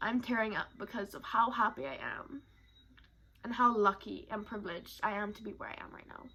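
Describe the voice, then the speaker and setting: There are big swings in loudness as a woman speaks at a fairly quick pace, her pitch fairly high. Her pitch variation is ordinary, with noticeable background noise behind her. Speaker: vlogger. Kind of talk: personal vlog monologue.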